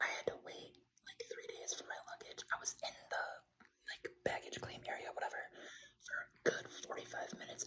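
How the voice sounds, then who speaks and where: Whispering at a moderate pace is a man. He speaks with an American accent. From Buffalo, New York, USA. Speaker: ASMR creator. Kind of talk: casual ramble to camera, ASMR life update. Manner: relaxed, rambling, filler-heavy.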